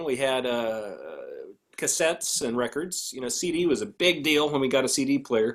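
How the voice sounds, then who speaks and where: Lively intonation and a moderate pace from a man with a plain, everyday voice. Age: 30s. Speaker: banjo player and music teacher. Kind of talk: casual chat.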